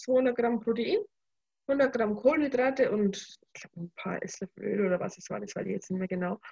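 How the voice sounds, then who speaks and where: A woman's high-pitched voice at a moderate pace, lively in intonation, with a dry, close sound and no echo. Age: 20s. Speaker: bikini fitness athlete. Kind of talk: casual chat.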